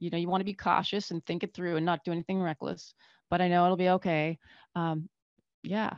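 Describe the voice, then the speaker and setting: A woman at a fairly low pitch, monotone and flat, at a fairly quick pace with long, frequent pauses, dry and close with no echo, over a quiet background. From Northern Canada. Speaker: physician. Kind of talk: casual interview chat.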